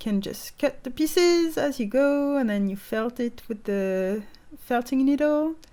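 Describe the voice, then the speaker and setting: Speaking at a fairly slow pace, a woman uses a high pitch and lively intonation, and her loudness swings widely. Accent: French. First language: French. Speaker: stop motion animator. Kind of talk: casual craft tutorial to camera.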